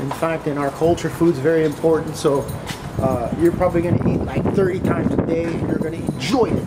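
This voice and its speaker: The speech moves at a fairly quick pace. Loud background noise runs throughout. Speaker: vlogger. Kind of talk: casual vlog chat. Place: street. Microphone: phone near.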